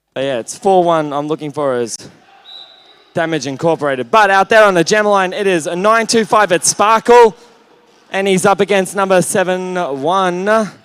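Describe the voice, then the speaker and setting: A man with an Australian accent, high-pitched, at a moderate pace. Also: ordinary pitch variation. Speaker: roller derby commentator. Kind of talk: live commentary. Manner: loud; animated.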